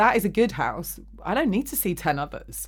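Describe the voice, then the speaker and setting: Someone speaks with an English accent at a moderate pace. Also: woman. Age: 40s. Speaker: podcast host. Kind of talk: casual chat. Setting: studio.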